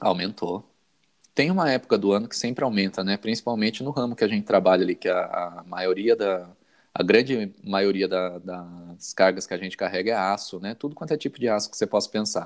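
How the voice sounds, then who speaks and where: Pitched fairly low with ordinary variation, a man talks in an unremarkable speaking voice. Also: fairly quick pace. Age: 40s. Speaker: IT worker. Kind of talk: casual chat.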